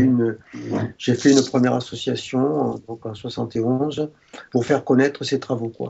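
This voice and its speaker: The voice is a man's, set at a medium pitch. Its intonation stays monotone and flat. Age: 70s. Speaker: retired doctor. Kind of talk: interview. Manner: halting.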